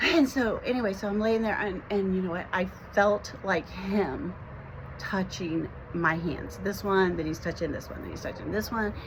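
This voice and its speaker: A woman speaks at a medium pitch with ordinary pitch variation, her voice carrying audible room echo over noticeable background noise. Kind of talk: personal testimony to camera. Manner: fast; halting, many fillers and repetitions.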